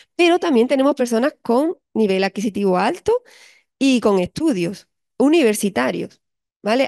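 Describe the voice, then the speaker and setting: An unremarkable speaking voice moves at a moderate pace with lively intonation. The background is quiet. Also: woman. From Spain, Andalusia (Cádiz); Andalusia, Spain. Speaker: psychologist and university lecturer; university lecturer. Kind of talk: lecture. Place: classroom.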